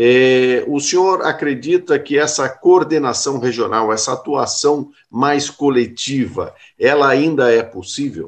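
This man's voice sits fairly high in pitch, with ordinary variation. He speaks at a very slow pace. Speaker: radio host. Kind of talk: radio interview.

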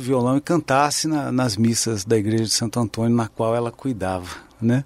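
A man's ordinary speaking voice at a medium pitch, fairly quick in pace, with ordinary pitch variation and a dry, close sound with no echo. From southern Minas Gerais, Brazil (Pouso Alegre). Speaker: guitarist and composer. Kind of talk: interview.

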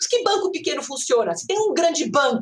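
A woman's animated voice with very wide pitch swings. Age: 50s. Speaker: professor and data science researcher. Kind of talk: interview.

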